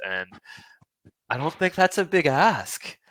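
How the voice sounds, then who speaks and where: A man speaks at a moderate pace with a bright, sharp tone and very wide pitch swings. The sound is dry and close, with no echo. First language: not English (English is third language). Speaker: podcast host. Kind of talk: casual interview podcast outro.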